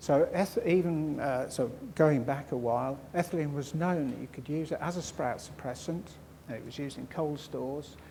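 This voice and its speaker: A man with a dark, mellow tone at a moderate pace, with audible room echo. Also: fairly high pitch for a man, fairly even intonation. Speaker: crop storage scientist. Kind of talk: conference talk. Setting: conference hall with audience. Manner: mumbling; halting.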